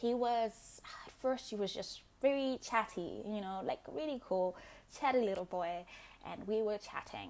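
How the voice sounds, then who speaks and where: Fairly slow, fairly high speech from a woman in a Zimbabwean accent, with big swings in loudness. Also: ordinary pitch variation. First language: Shona. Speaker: podcast host. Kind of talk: solo monologue.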